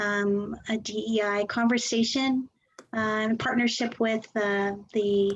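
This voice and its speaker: A woman's fairly high, somewhat breathy voice with fairly even intonation. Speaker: placement center director. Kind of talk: event welcome address.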